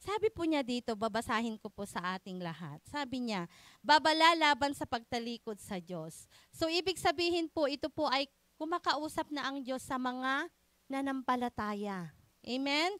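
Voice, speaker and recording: On a very clean recording with a silent background, a woman speaks loudly in a high pitch with very wide pitch swings. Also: moderate pace. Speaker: preacher. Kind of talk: sermon.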